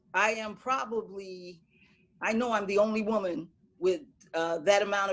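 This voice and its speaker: A woman talks in a normal speaking voice at a medium pitch. Her pitch varies in an ordinary way. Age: 60s. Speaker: boxing coach. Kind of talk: panel discussion introduction.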